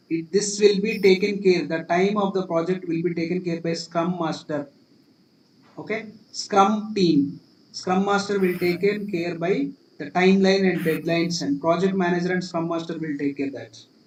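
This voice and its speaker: With fairly even intonation, a man talks at a moderate pace in a high pitch. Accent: Indian. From India, Telugu-speaking region. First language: Telugu. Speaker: cloud computing instructor. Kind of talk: live class tutorial. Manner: repetitive, restarting phrases.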